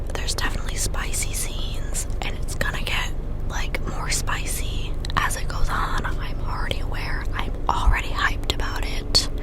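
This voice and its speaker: A woman whispers at a moderate pace against noticeable background noise. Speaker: book reviewer. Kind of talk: ASMR book review. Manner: whispered.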